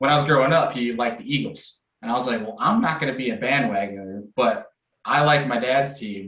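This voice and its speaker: Here a man speaks with an American accent and ordinary pitch variation. Room echo can be heard. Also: medium pitch for a man, fairly quick pace. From upstate New York, Rochester. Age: 20s. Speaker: bass fishing podcast host and angler. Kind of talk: casual chat.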